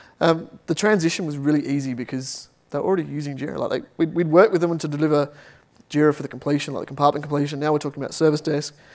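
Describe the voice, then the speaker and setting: A man with an Australian accent talks at a very fast pace. His fairly high voice keeps fairly even intonation. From Australia, Adelaide. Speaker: software team lead. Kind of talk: Q and A answer; conference talk.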